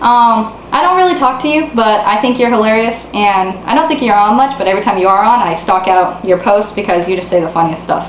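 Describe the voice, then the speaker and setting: A woman talks at a very fast pace with ordinary pitch variation and very even loudness. Noticeable background noise and audible room echo fill the recording. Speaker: online role-player / vlogger. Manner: halting, many ums and pauses.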